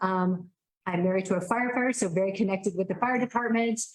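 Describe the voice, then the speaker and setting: The woman's voice sits at a medium pitch. Its rise and fall is ordinary. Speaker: state legislator running for re-election. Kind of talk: campaign speech at candidates forum. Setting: public forum with audience, handheld mic. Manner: loud.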